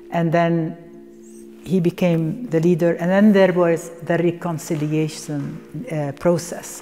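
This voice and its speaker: Music plays in the background as a woman speaks at a very slow pace. Her pitch is fairly low and her intonation fairly even. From Palestine. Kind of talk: documentary interview. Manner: halting, reflective.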